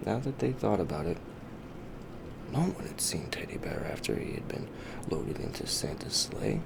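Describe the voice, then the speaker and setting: Over noticeable background noise, a whispering voice comes with long, frequent pauses. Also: moderate pace. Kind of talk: bedtime story narration. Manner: soft-spoken, whispered.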